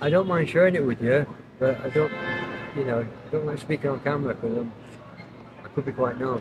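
Through loud background noise, a man talks at a fairly quick pace and fairly high pitch with ordinary pitch variation, leaving long, frequent pauses. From Lake District, England. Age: 60s. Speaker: homeless rough sleeper. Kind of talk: street interview answer. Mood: weary, subdued. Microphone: phone near.

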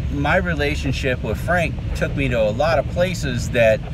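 A man's voice, dry with no echo, over music in the background. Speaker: video creator. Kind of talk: casual vlog chat. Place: car. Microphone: phone near.

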